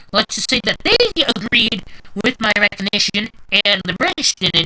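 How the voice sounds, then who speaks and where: A woman with a medium pitch is recorded with a dry, close sound and no echo. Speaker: gaming video creator. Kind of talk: gameplay strategy tutorial. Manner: loud; halting.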